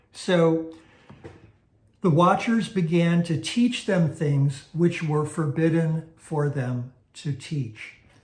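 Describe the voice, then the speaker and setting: A man with a fairly high pitch, talking at a very slow pace, with ordinary pitch variation and audible room echo. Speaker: Bible teacher. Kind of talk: teaching lecture. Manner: hesitant fillers.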